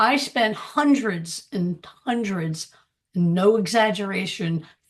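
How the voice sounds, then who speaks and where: Her delivery is very slow, with lively intonation. The woman's voice sounds somewhat breathy. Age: 70s. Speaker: former real estate broker turned online entrepreneur. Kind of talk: panel testimony / sales pitch.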